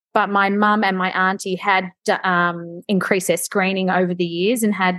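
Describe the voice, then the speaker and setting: Against a quiet background, a woman with an Australian accent speaks at a moderate pace. Her medium-pitched voice is monotone and flat. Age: 30s. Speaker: BRCA mutation carrier sharing her story. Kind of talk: interview testimony.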